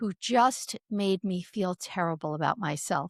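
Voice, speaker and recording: A normal speaking voice from a woman at medium pitch and a fairly slow pace, in a very clean recording with a silent background and a dry, close sound with no echo. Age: 60s. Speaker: author and speaker on midlife change. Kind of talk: interview conversation.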